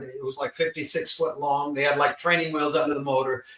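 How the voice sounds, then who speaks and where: A man's fairly high voice moves at a fairly quick pace, his intonation fairly even, with noticeable background noise around him. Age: 70s. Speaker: jet car drag racer. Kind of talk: interview. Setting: remote link via satellite. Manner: halting, many fillers.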